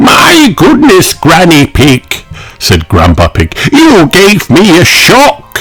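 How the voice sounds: Natural voice, reading aloud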